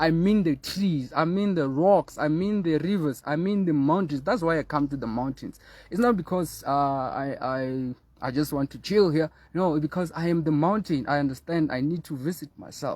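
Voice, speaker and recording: Speaking at a moderate pace with a fairly high pitch and ordinary pitch variation, a man is heard on a very clean recording with a silent background. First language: not English (mother tongue). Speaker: spiritual teacher. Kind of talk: spiritual talk. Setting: outdoors in the mountains. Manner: halting.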